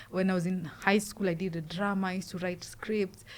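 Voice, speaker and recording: Somewhat breathy delivery at a fairly quick pace. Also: woman. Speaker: street poet. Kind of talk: casual interview. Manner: halting.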